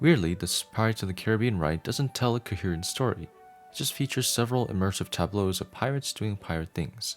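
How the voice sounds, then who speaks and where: A man with a fairly low pitch and lively intonation at a very fast pace, with music in the background. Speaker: audiobook narrator. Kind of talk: reading aloud.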